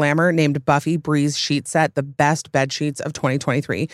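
An animated woman with an American accent at a fairly quick pace, in a dry, close sound with no echo and a very clean recording against a silent background. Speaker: podcast host. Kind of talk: casual chat.

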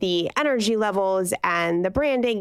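At a moderate pace, a woman with an unremarkable speaking voice speaks at medium pitch with lively intonation, recorded very cleanly against a silent background. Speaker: podcast co-host. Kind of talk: casual chat.

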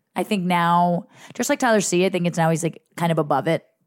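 Recorded very cleanly against a silent background, a woman with an American accent talks at a very fast pace, with fairly low pitch and vocal fry. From New Jersey. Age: 30s. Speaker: TV assistant and podcast host. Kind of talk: casual chat.

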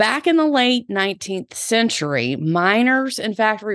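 A woman speaks in a Southern US accent with an animated, upbeat tone, the sound dry and close with no echo. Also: quiet background. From US South. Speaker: podcast host and personal stylist. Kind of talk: casual solo podcast monologue. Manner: animated, upbeat, chatty.

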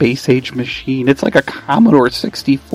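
Reading aloud in a natural voice, with lively intonation

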